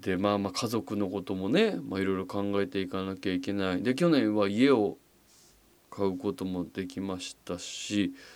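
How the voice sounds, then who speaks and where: A man talks in a normal speaking voice, fairly low in pitch with ordinary pitch variation. His pace is moderate, on a very clean recording with a silent background. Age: 40s. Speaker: podcast host. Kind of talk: casual monologue. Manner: relaxed, many fillers.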